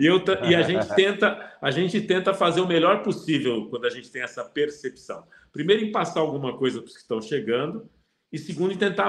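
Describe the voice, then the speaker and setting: Here a man speaks with a high pitch. He talks at a fairly quick pace. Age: 60s. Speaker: football pundit. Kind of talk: casual chat. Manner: halting.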